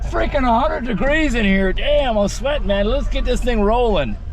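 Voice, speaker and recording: Extremely high in pitch, a man talks at a fairly quick pace with ordinary pitch variation. The recording has audible room echo and noticeable background noise. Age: 60s. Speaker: car show vlogger. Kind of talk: casual vlog chat. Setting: outdoors and in a car. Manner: animated.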